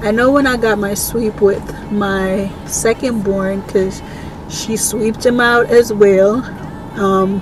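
A very slow pace and fairly even intonation, in a dry sound with no echo and noticeable background noise. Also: woman. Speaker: vlogger. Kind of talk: casual vlog chat. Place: car. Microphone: phone near.

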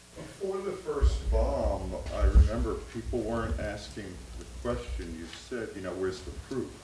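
A man talks at a moderate pace with big swings in loudness. Noticeable background noise and audible room echo are present. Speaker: workshop participant; guest. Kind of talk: group discussion. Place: hall. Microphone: podium.

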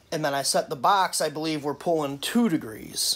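The voice moves at a moderate pace with ordinary pitch variation and a fairly bright tone. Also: man, fairly high pitch for a man.

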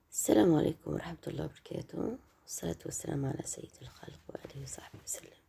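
A woman whispers at a fairly quick pace with hardly any pauses. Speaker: cooking vlogger. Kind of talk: cooking tutorial.

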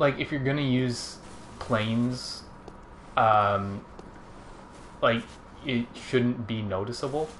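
A man's medium-pitched voice at a very slow pace, fairly even in intonation, with long, frequent pauses over noticeable background noise. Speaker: gaming video co-host. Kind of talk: casual gameplay chat.

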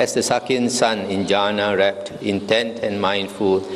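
Light background noise accompanies a man speaking at a fairly slow pace in a monotone, flat intonation. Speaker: monk teacher. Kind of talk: reading scripture aloud. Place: hall. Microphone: handheld.

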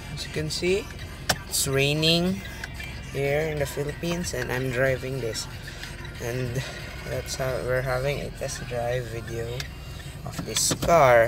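Over noticeable background noise, a man speaks at a fairly slow pace with long, frequent pauses. His pitch varies in an ordinary way, and the sound is dry with no echo. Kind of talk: casual car review commentary. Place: car. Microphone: phone near.

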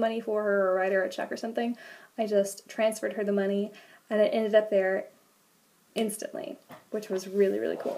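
The speaker has a dark, mellow tone and talks at a very fast pace. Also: woman. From United States. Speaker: vlogger and au pair; vlogger. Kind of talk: casual vlog talk to camera. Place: home room. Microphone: webcam.

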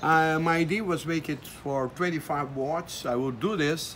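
Fairly high in pitch, a man with a Brazilian accent speaks at a fairly slow pace with ordinary pitch variation over light background noise. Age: 70s. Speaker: amateur radio operator. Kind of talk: casual talk to camera. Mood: proud, enthusiastic.

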